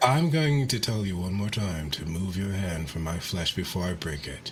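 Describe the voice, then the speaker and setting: Using a put-on character voice, a man speaks gravelly and at a very deep, low pitch at a moderate pace, with noticeable background noise. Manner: menacing.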